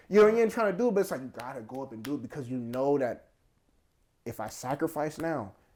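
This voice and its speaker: In a very clean recording with a silent background, a man talks very fast in an animated tone with a fairly high pitch, very wide pitch swings and big swings in loudness. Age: 20s. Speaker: martial arts fighter. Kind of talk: casual chat.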